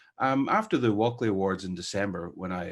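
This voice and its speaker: A man speaks at a fairly quick pace in a fairly low voice with ordinary pitch variation against a quiet background. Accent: Northern Irish. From Northern Ireland. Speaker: newspaper editor and headline writer. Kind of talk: masterclass lecture. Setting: online webinar.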